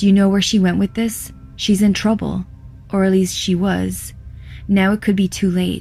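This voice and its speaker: A put-on character voice at a middle pitch and moderate pace, with clear music in the background. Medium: read story. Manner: blunt, matter-of-fact.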